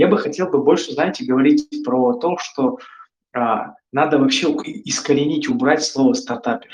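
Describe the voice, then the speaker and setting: A man talks at a moderate pace in a fairly high pitch. His pitch swings very widely. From northern Kazakhstan. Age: 20s. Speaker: startup founder. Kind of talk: interview talk, expert Q&A. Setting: online call. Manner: conversational, many fillers.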